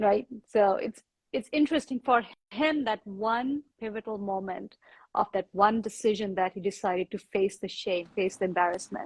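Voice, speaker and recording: A woman with an Indian accent, somewhat breathy, medium in pitch with ordinary pitch variation, at a moderate pace, in a dry, close sound with no echo. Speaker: yoga teacher. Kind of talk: casual chat.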